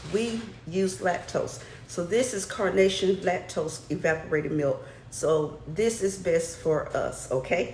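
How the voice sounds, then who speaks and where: Soft-spoken delivery in an American accent, fairly slow with lively intonation, plus audible room echo and noticeable background noise. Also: woman, medium pitch for a woman. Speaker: cooking channel host. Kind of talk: cooking tutorial. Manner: chatty.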